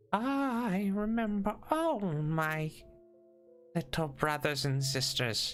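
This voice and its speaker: A put-on character voice moves at a very slow pace with very wide pitch swings. Faint music plays in the background. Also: man, high pitch for a man. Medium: actual play. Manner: tender, speaks in short fragile phrases.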